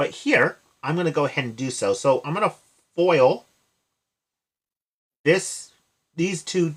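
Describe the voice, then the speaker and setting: The recording is very clean, its background silent. A man speaks at a fairly slow pace, with ordinary pitch variation. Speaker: math teacher streamer. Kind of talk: live-stream tutorial. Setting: live stream. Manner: loud.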